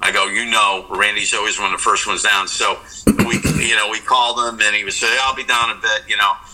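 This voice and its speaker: A man races through his words at a very fast pace against noticeable background noise. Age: 60s. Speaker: rock guitarist. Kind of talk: interview. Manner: halting.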